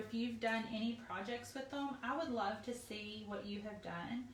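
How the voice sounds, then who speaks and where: A woman with a high pitch speaks at a fairly slow pace amid noticeable background noise and audible room echo. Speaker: craft supply company staff demonstrating products. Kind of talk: live product tutorial. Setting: live video stream.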